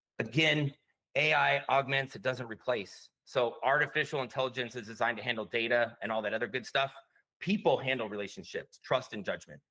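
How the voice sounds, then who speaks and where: This man's bright, sharp voice sits at a medium pitch with vocal fry, moving at a fairly quick pace with lively intonation. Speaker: conference speaker. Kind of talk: conference presentation. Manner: fast.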